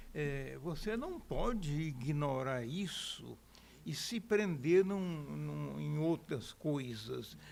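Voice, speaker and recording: A man talks very slowly, and audible room echo surrounds his words. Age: 80s+. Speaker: journalist and political scientist. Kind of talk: interview. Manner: casual, conversational.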